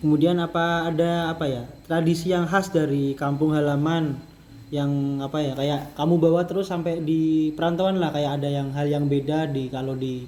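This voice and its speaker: Speaking at a moderate pace amid audible room echo, a man uses a fairly high pitch and fairly even intonation. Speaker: student podcast host. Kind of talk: casual interview. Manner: casual, halting with fillers.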